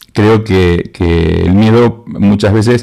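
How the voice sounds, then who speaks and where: The speaker is a man with a fairly low voice. His tone is dark and mellow. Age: 60s. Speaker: university lecturer in advertising and creativity. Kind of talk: conference talk.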